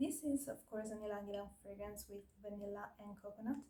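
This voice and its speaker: Her voice somewhat breathy and fairly high, a woman speaks at a moderate pace with fairly even intonation. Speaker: perfume reviewer. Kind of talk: product review. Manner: hesitant, many fillers.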